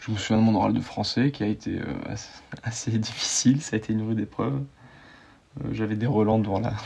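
This man talks at a very fast pace, broken up by long, frequent pauses. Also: medium pitch for a man, fairly even intonation. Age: 20s. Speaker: guest sharing personal story. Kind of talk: interview, personal testimony. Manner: hesitant, many fillers and repetitions.

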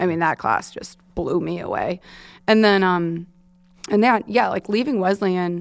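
In a very clean recording with a silent background, a woman with a plain, everyday voice speaks at a fairly low pitch and a moderate pace. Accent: American. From New York suburbs (Long Island). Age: 20s. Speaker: photographer and director. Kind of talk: casual interview chat.

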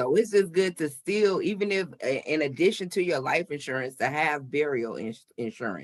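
A man's fairly high-pitched, plain, everyday voice at a moderate pace with lively intonation. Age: 40s. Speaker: podcast host. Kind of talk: casual interview.

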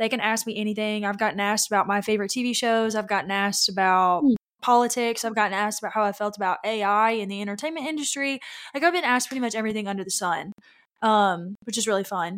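A woman with a Southern US accent speaks at a very fast pace, her pitch fairly high with ordinary variation. The recording is very clean, with a silent background. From Louisiana. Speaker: pageant competitor. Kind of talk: casual interview chat.

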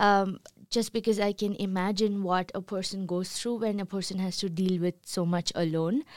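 Here a woman speaks at a moderate pace with a medium pitch and ordinary pitch variation. The recording is very clean, with a silent background. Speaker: reporter. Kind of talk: interview. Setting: makeshift studio. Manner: halting.

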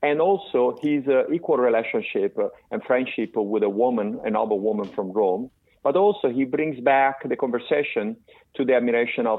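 Lively intonation from a man with an Italian accent, at a fairly quick pace. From Italy (Florence). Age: 50s. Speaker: tech company CEO. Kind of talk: interview. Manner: halting, many fillers.

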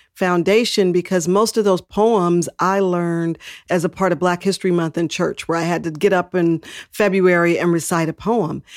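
A woman with a plain, everyday voice and an American accent speaks at fairly low pitch, a moderate pace and fairly even intonation. The recording is very clean with a silent background and a dry, close sound with no echo. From Texas. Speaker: civil rights official. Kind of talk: interview.

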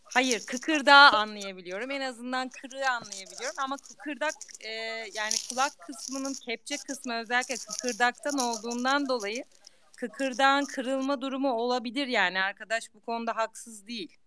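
At a moderate pace, the voice shows big swings in loudness and ordinary pitch variation, with noticeable background noise behind it. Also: woman, high pitch for a woman. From Amasya, Turkey. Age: 30s. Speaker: academic. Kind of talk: casual chat. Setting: audio chat room. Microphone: too quiet.

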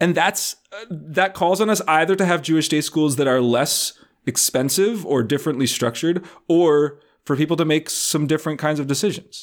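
An ordinary speaking voice, with ordinary pitch variation, proceeds at a moderate speed. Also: man, fairly high pitch for a man, very clean recording, silent background. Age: 30s. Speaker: podcast co-host. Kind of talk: casual chat.

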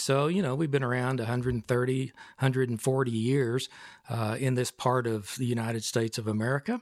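A man speaks with a West Texas accent at a medium pitch. His intonation stays fairly even. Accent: West Texas drawl. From West Texas (Snyder, Amarillo). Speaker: retired regional planning executive. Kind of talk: interview.

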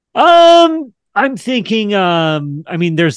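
Against a quiet background, a man speaks very slowly with very wide pitch swings and a dry, close sound with no echo. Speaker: talk show host. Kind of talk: interview.

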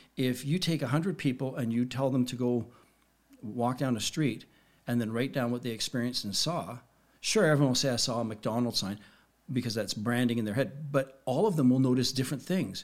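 This man has a plain, everyday voice, medium in pitch with ordinary pitch variation, moving at a fairly quick pace. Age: 50s. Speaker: hypnotist and magician. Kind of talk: casual chat.

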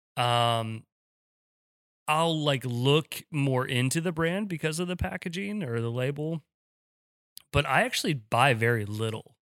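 Pausing often and at length, a man speaks at a fairly slow pace in a fairly high pitch with lively intonation. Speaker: podcast co-host and small business owner. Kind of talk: casual chat.

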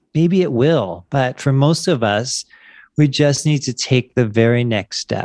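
The speaker has a plain, everyday voice with ordinary pitch variation at a fairly slow pace. The sound is dry and close with no echo against a quiet background. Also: man, medium pitch for a man. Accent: American. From Wilmington, Delaware, US. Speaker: life coach. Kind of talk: casual interview. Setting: video call.

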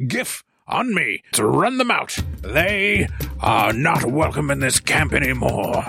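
Putting on a raspy character voice, a man talks at a fairly slow pace with faint music in the background. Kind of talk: archaic formal speech. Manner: stiff, formal, then angry and dismissive.

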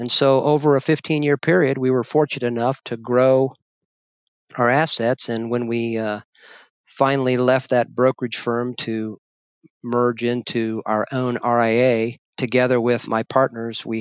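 A man's medium-pitched voice with monotone, flat intonation. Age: 60s. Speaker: financial advisor. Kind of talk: interview.

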